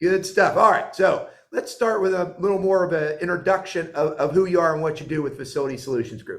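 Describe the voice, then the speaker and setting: Talking very fast with hardly any pauses, a high-pitched man shows ordinary pitch variation. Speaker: podcast host. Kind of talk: interview.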